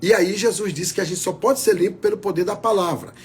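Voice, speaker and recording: His pitch leaps and falls very widely. A man talks in a high register. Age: 60s. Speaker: pastor. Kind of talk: sermon.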